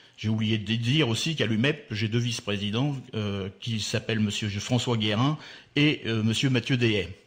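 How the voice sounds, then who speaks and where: Speech moves at a moderate speed. The pitch rises and falls in an ordinary way. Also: man, medium pitch for a man. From Normandy, France (Le Havre area). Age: 60s. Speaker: port business leader. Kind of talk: radio interview. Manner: halting, many hesitations.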